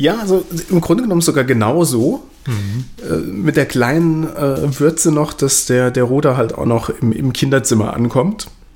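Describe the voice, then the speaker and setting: Amid noticeable background noise, a man with a fairly high voice talks at a moderate pace with lively intonation. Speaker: podcast co-host. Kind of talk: casual chat. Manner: repeats words, halting.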